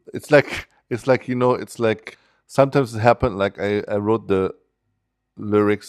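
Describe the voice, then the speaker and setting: With a German accent, a man speaks at a moderate pace with fairly even intonation, the sound dry and close with no echo over a quiet background. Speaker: musician and educator. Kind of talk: interview. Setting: studio. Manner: halting.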